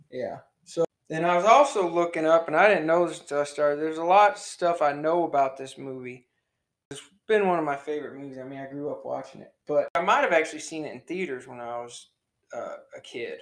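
In a plain, everyday voice, a man speaks at a fairly high pitch with ordinary pitch variation and big swings in loudness. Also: fairly quick pace. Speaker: podcast host. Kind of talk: casual chat. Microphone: new audio equipment, poor sound quality.

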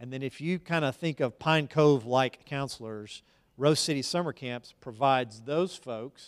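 Using an ordinary speaking voice, a man with an American accent speaks at a medium pitch and a moderate pace. His pitch varies in an ordinary way, with big swings in loudness. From Texas (Dallas, Tyler). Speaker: school board president and pastor. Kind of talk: interview in a church service.

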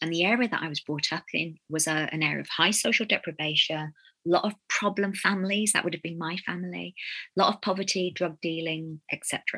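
A woman with a Birmingham accent, fairly low in pitch, bright and sharp in tone, at a fairly quick pace with fairly even intonation, in a dry, close sound with no echo. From Birmingham, England. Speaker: storyteller and consultant. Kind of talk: interview. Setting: video call.

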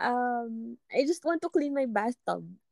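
A woman speaks with lively intonation and a fairly high pitch. The sound is dry and close, with no echo. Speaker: podcast co-host in a long-distance relationship. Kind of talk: casual chat.

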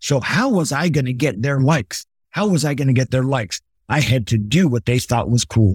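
A man with an American accent talks at a fairly quick pace and medium pitch, somewhat breathy, with ordinary pitch variation and very even loudness, in a dry, close sound with no echo. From Los Angeles, California. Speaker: retired army officer, motivational speaker. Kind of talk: interview storytelling. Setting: video call. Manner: animated.

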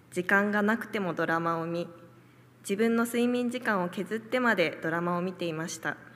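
This woman has a normal speaking voice at a medium pitch. Her pace is moderate and her pitch varies in an ordinary way. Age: young. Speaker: church member giving testimony. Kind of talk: testimony.

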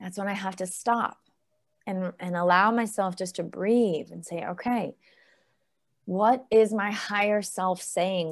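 A woman with an unremarkable speaking voice talks at a fairly slow pace, medium pitch, and ordinary pitch variation. The recording is very clean, with a silent background. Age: 40s. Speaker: gut health coach. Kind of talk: podcast interview.

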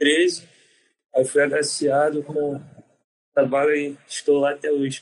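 Fairly slow, monotone speech from a man with a fairly high pitch and long, frequent pauses. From Brazil, Rio de Janeiro. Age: 20s. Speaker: navy corporal. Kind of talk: interview answers.

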